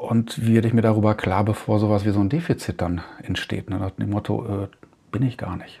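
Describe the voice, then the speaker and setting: A man's fairly low voice with fairly even intonation at a fairly quick pace. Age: 50s. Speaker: podcast host. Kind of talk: solo monologue. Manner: halting, with frequent fillers.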